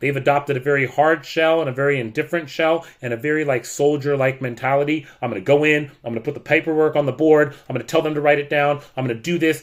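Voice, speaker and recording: A man with a fairly high pitch talks in an animated tone. He goes at a very fast pace with hardly any pauses. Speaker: teacher. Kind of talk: rant.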